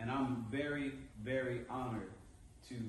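A man speaks with fairly even intonation. The room echo is audible, and there is light background noise. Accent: American. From Naples, Italy (US military family). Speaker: motivational speaker, Navy veteran. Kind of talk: motivational talk to an audience. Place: hall. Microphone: camera far.

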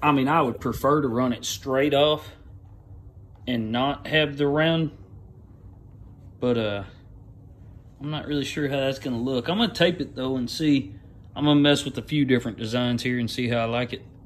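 A man speaks at a moderate pace with ordinary pitch variation, leaving long, frequent pauses. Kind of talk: casual how-to narration. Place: garage. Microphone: phone near.

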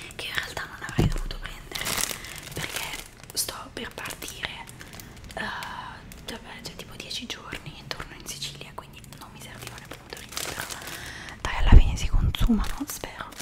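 A woman whispers at a moderate pace in a relaxed tone. Her loudness swings widely, and she takes long, frequent pauses. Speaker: ASMR content creator; ASMR creator. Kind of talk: whispered ASMR talk to camera. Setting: close microphone, home recording. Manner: whispered, soft, relaxed. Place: home room. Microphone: studio mic.

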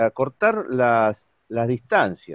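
In a dry sound with no echo and a quiet background, a man speaks with very wide pitch swings. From Argentina. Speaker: interviewer. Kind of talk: interview. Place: home room. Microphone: video call.

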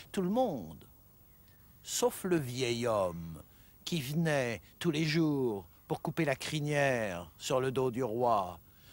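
Very slowly and with long, frequent pauses, a man at a medium pitch speaks with very wide pitch swings and very even loudness in a dry sound with no echo. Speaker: traditional storyteller. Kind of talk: folk tale storytelling. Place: waterside.

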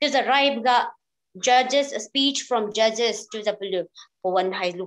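A woman at a moderate pace, ordinary pitch variation, and a quiet background. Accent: Northeast Indian. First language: Liangmai. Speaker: event organizer; event host. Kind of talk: formal speech. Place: home room. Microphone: video call.

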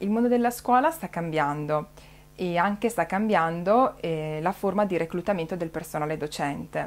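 Fairly low in pitch, a woman talks with ordinary pitch variation. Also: moderate pace. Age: 30s. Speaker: teacher. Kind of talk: personal testimony. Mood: calm, friendly. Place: home room. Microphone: webcam.

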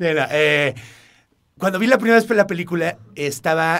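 Here a man is talking. His pitch is fairly high. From Mexico, part of childhood in El Paso, Texas. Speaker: actor. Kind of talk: interview.

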